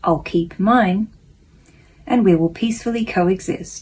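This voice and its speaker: A woman speaks at a fairly slow pace in a medium, somewhat breathy voice. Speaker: self-help vlogger reading a daily lesson. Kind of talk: reading aloud with personal reflection. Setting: at home, housemate napping next room. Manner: soft-spoken, quieter than usual.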